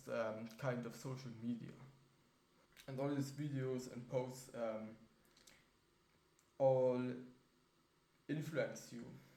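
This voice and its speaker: A somewhat breathy voice with a dark, mellow tone speaks at a very slow pace, with long, frequent pauses and audible room echo. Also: man, medium pitch for a man, fairly even intonation. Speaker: vlogger. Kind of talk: casual vlog monologue. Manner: halting, many fillers.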